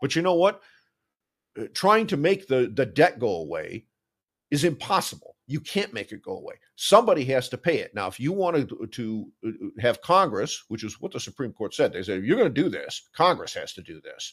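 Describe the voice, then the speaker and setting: The voice has vocal fry and very wide pitch swings at a fairly quick pace. The recording is very clean, with a silent background. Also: man, fairly high pitch for a man. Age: 60s. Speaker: finance blogger. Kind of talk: interview. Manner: frequent fillers and repetitions.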